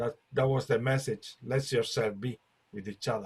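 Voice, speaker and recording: A somewhat breathy male voice with a non-native accent, medium pitch, ordinary pitch variation and a moderate pace. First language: not English. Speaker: light language group facilitator. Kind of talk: group spiritual discussion. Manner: halting.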